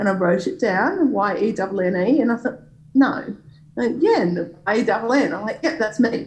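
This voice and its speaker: With an Australian accent, a woman speaks at a fairly high pitch in a somewhat breathy voice. Her pitch swings very widely at a moderate pace. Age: 40s. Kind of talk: interview. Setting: video call.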